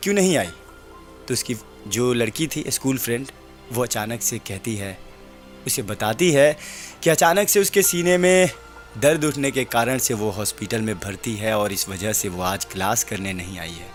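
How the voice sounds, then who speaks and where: With music in the background, a man of medium pitch speaks using very wide pitch swings. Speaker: radio jockey, story narrator. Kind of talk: radio-style audio story narration.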